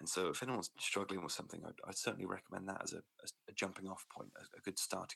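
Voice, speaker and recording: Speaking with a British accent, a man talks at a very fast pace. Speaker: podcast host. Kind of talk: personal story interview. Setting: remote call. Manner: soft-spoken, quiet.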